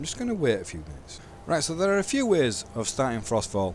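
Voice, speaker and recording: A man speaks with very wide swings in pitch. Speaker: gaming mod tutorial host. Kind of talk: casual tutorial narration.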